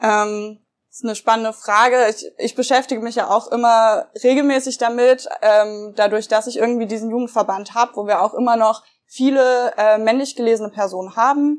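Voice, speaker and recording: A woman with a plain, everyday voice speaks at a moderate pace and a fairly high pitch. Her intonation is fairly even, but her loudness swings widely. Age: 20s. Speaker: young party politician. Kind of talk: interview.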